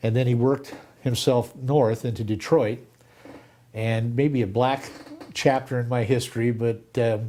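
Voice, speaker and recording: Pausing long and often, a man with a General American accent speaks at a medium pitch in monotone, flat intonation. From Southern California. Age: 70s. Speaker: lawyer. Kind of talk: oral history interview.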